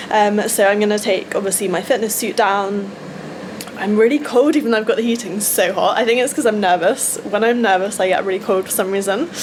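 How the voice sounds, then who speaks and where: Someone speaks with an English accent at a fairly quick pace. The pitch varies in an ordinary way, and there is noticeable background noise. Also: woman, medium pitch for a woman. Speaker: vlogger and bodybuilding competitor. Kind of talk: vlog. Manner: loud; animated.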